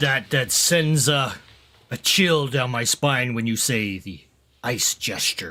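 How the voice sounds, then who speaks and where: A man puts on a raspy character voice at a medium pitch. His intonation is lively and his pace fairly slow. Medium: actual play.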